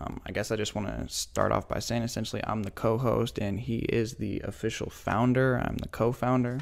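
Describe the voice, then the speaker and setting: A man's fairly low voice with an American accent, an unremarkable speaking voice at a moderate pace and fairly even intonation. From US Pacific Northwest, Spokane area. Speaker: podcast host, clothing brand co-founder. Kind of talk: casual chat.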